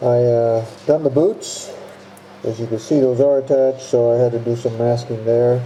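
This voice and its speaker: A man's medium-pitched, monotone, flat voice at a moderate pace, with noticeable background noise. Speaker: model kit builder. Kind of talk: tutorial. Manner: halting. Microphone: muffled by face mask.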